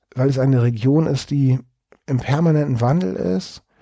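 A man talks at a moderate pace. His voice is somewhat breathy, with a dark, mellow tone. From Hamburg, northern Germany. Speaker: cultural historian. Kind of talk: interview.

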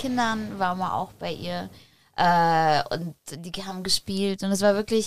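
A woman speaks in a normal speaking voice at medium pitch, her loudness swinging widely, on a very clean recording with a silent background. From Poland, raised in Germany from age six. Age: 30s. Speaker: former drug user, entrepreneur. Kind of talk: casual interview chat.

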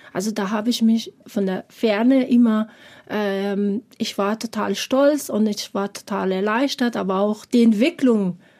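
Fairly high in pitch for a woman, her dark, mellow voice moves at a fairly slow pace with fairly even intonation. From Afghanistan. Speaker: preschool teacher. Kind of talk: personal testimony. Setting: studio.

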